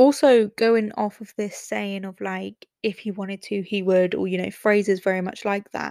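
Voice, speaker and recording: Speaking with hardly any pauses, a woman with an English accent has a medium pitch, a dark, mellow tone and fairly even intonation. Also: moderate pace, dry, close sound with no echo. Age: 20s. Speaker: podcast host. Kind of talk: casual monologue.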